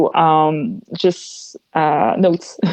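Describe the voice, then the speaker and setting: In a Quebec accent, a woman speaks with fairly even intonation. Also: quiet background. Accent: French-Canadian accent in English. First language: French. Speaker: metal singer and solo musician. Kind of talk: podcast interview. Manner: hesitant, many fillers.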